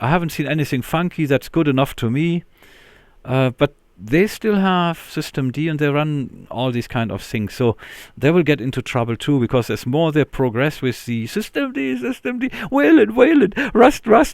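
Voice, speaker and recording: A man with a non-native accent and a fairly high voice, very wide pitch swings, a moderate pace, and a very clean recording over a silent background. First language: not English. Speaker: linux youtuber. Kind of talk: casual screen-recorded tech commentary. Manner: hesitant, filler-heavy.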